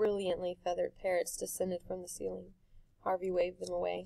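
The voice reads naturally. Pitch movement stays fairly flat.

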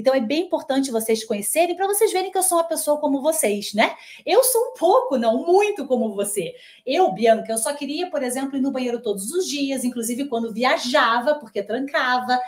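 A woman with high pitch, an animated tone and lively intonation at a fairly quick pace, against a quiet background. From Brazil, Rio de Janeiro and Curitiba; Brazil. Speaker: nutritionist; nutritionist host. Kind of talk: live webinar sales pitch. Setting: livestream with two cameras. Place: kitchen. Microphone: webcam.

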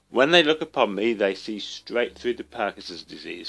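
There is music in the background. Over it, a man is speaking. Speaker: writer living with Parkinson's disease. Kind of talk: reading of own essay.

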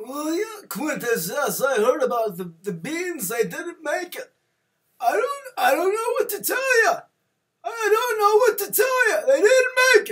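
A man does a cartoonish character voice at an extremely high pitch with very wide pitch swings. He talks at a fairly slow pace. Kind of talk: comic overacting. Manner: prim, halting, then flustered outbursts.

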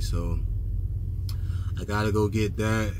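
A man speaks against noticeable background noise. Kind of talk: casual vlog chat. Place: car. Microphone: phone near.

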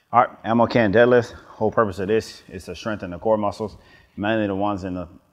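A man with an American accent, fairly low pitch and fairly even intonation at a fairly quick pace, against a quiet background. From US South, Atlanta, Georgia. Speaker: Marine fitness instructor; fitness instructor. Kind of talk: tutorial. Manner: casual, with fillers. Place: studio.

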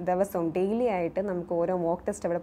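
A woman speaks at a medium pitch with a dark, mellow tone. Light noise sits in the background. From Kerala, Kollam district (Kottarakkara); Kerala. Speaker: successful bank exam candidate, former coaching student; candidate. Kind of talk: testimonial to camera. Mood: grateful, calm. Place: studio. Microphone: lapel.

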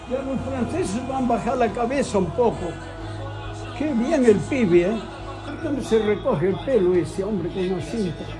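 A man's high voice with lively intonation at a moderate pace, over clear music in the background. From Spain. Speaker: elderly football fan. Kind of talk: casual talk while watching football at home. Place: home room. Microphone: phone near.

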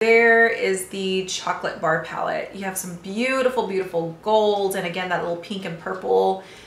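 At a moderate pace and with hardly any pauses, a woman talks with ordinary pitch variation in audible room echo. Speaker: beauty vlogger. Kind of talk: casual vlog chat. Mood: warm, enthusiastic. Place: home room. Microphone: phone near.

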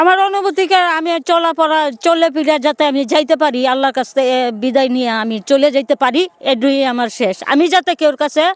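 The sound is dry and close, with no echo. A woman speaks in a high voice with ordinary pitch variation. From Bangladesh, Kishoreganj. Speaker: cattle-rearing woman, former garment worker. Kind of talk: street interview.

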